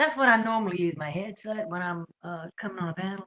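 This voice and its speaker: Someone with a Southern US accent talks at a fairly quick pace with ordinary pitch variation. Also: woman. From US South. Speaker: panel caller. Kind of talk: casual chat. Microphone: iPad mic without headset.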